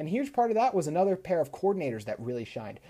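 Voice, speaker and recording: This man's voice has a dark, mellow tone. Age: 20s. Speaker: sports podcast host. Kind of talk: solo sports analysis monologue.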